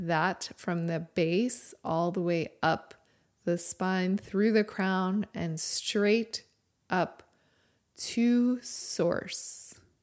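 At a very slow pace and in a calm, gentle tone, the speaker shows ordinary pitch variation on a very clean recording with a silent background. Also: woman. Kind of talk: guided meditation. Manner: slow, calm, gentle and unhurried, with long pauses and soft instructions; reverent, soothing.

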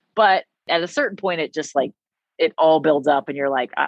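In an American accent, a woman uses an ordinary speaking voice with lively intonation at a moderate pace. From US South, Nashville, Tennessee. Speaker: former pro cyclist and endurance coach. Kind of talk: casual interview chat.

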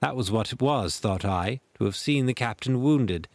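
This is plain reading aloud. The text is read out as written.

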